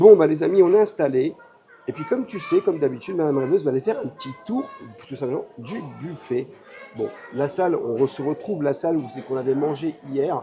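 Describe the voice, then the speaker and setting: Over music in the background, a man talks at a fairly quick pace with lively intonation and a fairly high pitch. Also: big swings in loudness. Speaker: travel and theme park vlogger. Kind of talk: casual vlog chat. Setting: hotel restaurant.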